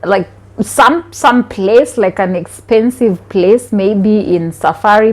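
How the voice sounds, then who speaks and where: Over noticeable background noise, a woman with a Kenyan accent speaks at a very slow pace with lively intonation. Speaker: vlogger. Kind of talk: casual vlog talk.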